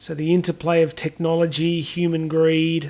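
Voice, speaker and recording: With an Australian accent, a man talks in a high voice. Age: 40s. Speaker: podcast host. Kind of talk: solo podcast commentary. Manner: casual, with many fillers and restarts.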